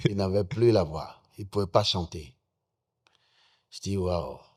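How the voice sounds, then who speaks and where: In a very clean recording with a silent background, a man speaks fairly slowly in a somewhat breathy, fairly low voice with ordinary pitch variation. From Benin, Ouémé valley. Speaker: musician. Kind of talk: interview.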